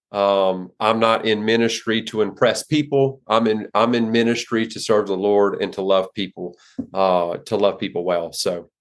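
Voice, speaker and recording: In an American accent, a man speaks with a fairly low pitch and fairly even intonation. He hardly pauses, and the background is quiet. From US South, southwest Louisiana. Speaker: pastor. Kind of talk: casual interview. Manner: halting with many fillers.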